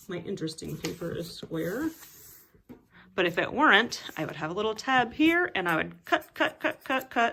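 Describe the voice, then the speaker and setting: A woman speaks in an animated, bright and sharp voice at medium pitch, swinging her pitch very widely at a moderate pace. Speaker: music teacher. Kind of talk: tutorial.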